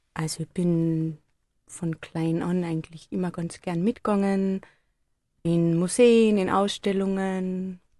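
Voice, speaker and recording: At a very slow pace, a woman speaks with a medium pitch, a dark, mellow tone and fairly even intonation. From Austria, Carinthia (upper Drau valley). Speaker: photography project leader at a nonprofit. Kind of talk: radio interview. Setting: studio.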